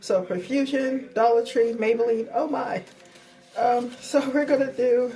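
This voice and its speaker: Music plays in the background as a woman talks in a high voice. Her pace is fairly slow. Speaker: beauty vlogger. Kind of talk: casual makeup tutorial talk to camera.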